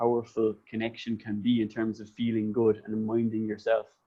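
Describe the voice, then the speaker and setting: This man has a dark, mellow tone and a medium pitch. He speaks at a fairly quick pace in a Cork accent. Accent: Cork Irish. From Ireland, County Cork. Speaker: podcast host. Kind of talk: casual chat.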